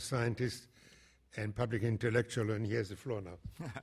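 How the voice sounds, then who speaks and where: A somewhat breathy man with a German accent, at a moderate pace. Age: 80s+. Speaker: panel moderator, professor. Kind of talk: panel moderation. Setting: conference panel with audience.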